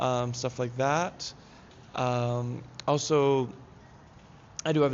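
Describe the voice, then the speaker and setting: The man speaks at a medium pitch. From Hawaii. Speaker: acting student. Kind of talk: casual interview. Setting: live stream.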